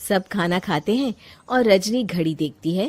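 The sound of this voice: A woman's medium-pitched voice with big pitch swings at a slow pace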